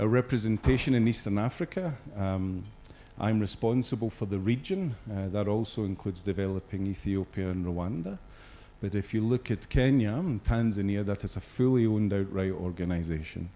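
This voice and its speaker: A man speaks with a Scottish accent at a fairly low pitch. His tone is dark and mellow, with ordinary pitch variation. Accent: Scottish, noticeable. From Scotland. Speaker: regional business executive. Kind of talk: corporate presentation. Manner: hesitant, many fillers.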